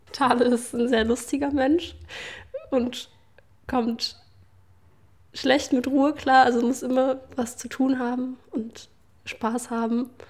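A woman speaks very slowly in a high, flat monotone, leaving long and frequent pauses. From Germany, Leipzig. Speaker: daughter of the doctor. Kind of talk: interview testimony.

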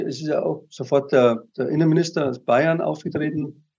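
A man's dark, mellow tone at a moderate pace. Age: 70s. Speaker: retired teacher, constitutional complainant. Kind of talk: interview. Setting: video call.

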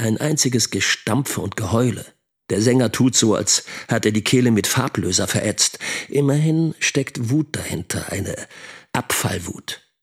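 A man speaks in a put-on character voice with a husky, rough edge and a fairly low pitch. His pitch varies in an ordinary way, and his pace is fairly slow.

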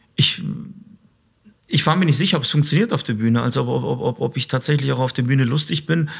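Using vocal fry and a fairly high pitch, a man talks at a very fast pace with ordinary pitch variation, broken by long, frequent pauses. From Stuttgart, Germany (Kosovo-born). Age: 30s. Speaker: police officer and comedian. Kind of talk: interview.

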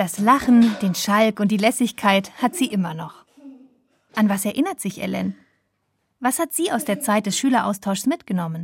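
Her voice fairly high and somewhat breathy, a woman speaks at a moderate pace with lively intonation and long, frequent pauses. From southwest Germany, Schwäbisch Hall. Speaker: radio reporter. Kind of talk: scripted narration.

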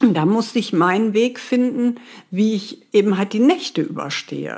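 At a moderate pace, an unremarkable speaking voice carries lively intonation. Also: woman. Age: 40s. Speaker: former homeless person. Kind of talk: interview testimony. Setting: remote call from home.

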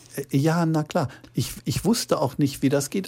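At a fairly slow pace, a man speaks in a dark, mellow tone that is somewhat breathy. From Ruhr area, Gelsenkirchen. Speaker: crime novelist. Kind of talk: interview.

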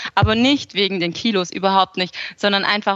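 With ordinary pitch variation, a woman talks in a bright, sharp tone. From southern Germany (Aalen, Swabia). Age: 20s. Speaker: food blogger and cookbook author. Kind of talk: interview.

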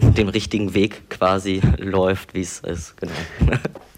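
A man speaks with fairly even intonation. Noticeable background noise runs under his voice. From Brandenburg, eastern Germany. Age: 20s. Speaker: interview guest sharing personal experience. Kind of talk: personal interview. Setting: remote internet call.

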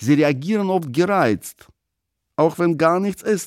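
A man with a Russian accent, dry and close with no echo, on a very clean recording with a silent background. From Russia (Moscow). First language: Russian (speaking German). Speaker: writer. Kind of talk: casual interview answers; reading own essay aloud.

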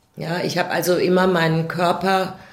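Audible room echo surrounds the voice. A woman speaks at a fairly low pitch. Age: 60s. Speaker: abuse survivor. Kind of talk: testimony. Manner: halting.

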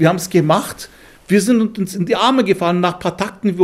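Speaking with a Turkish accent, a man has a high pitch and ordinary pitch variation. His pace is fairly quick. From Istanbul, then Munich from age nine. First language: Turkish (speaking German). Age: 60s. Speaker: musician and composer. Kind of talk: interview.

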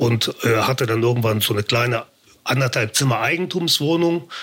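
A moderate pace carries the speech. It is a plain, everyday voice. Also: man. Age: 50s. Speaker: formerly homeless man turned on-camera personality. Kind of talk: casual interview.

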